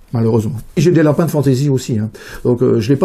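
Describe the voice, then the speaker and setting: A man talks at a medium pitch with ordinary pitch variation and a dark, mellow tone. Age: 60s. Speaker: rabbit breeder and show judge. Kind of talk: interview. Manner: hesitant, many fillers.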